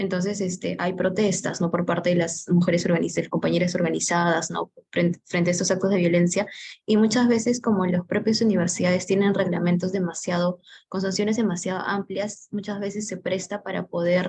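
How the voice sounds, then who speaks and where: A woman's somewhat breathy, medium-pitched voice with a Peruvian accent, at a fairly quick pace with monotone, flat intonation. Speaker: course participant. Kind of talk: class discussion comment.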